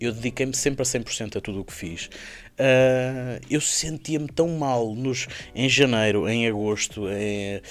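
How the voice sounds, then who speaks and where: Speaking fairly slowly with a Lisbon accent, a man keeps a medium pitch and ordinary pitch variation. His loudness swings widely. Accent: European Portuguese, Lisbon. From Portugal. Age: 30s. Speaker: motorcycle dealership founder. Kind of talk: podcast interview. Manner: hesitant, many fillers and repetitions.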